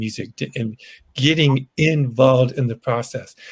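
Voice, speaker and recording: Speaking with an American accent, a man with a medium-pitched, somewhat breathy voice uses ordinary pitch variation. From Boston. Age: 70s. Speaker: blues musician. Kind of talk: casual chat. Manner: halting.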